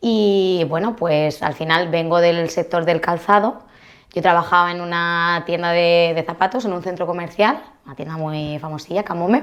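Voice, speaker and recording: A woman speaks in a normal speaking voice at a fairly low pitch and moderate pace. Her pitch variation is ordinary, while her loudness swings widely. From Spain, Alicante province (Crevillente/Elche). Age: 30s. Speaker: mortgage broker. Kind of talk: casual chat.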